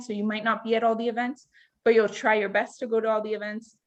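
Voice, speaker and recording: A woman talks with a Canadian accent at a fairly high pitch. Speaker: student orientation leader. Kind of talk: online workshop Q&A. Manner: loud.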